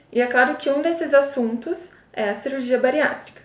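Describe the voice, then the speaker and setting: A woman with ordinary pitch variation and a moderate pace, plus noticeable background noise. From interior of São Paulo state, Brazil. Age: 20s. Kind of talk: casual talk to camera.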